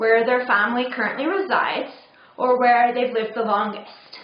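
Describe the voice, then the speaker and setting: Amid noticeable background noise and audible room echo, a woman speaks at high pitch with an American accent. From third culture kid: England, California, Netherlands. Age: 30s. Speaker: vlogger with chronic migraine. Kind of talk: personal video blog.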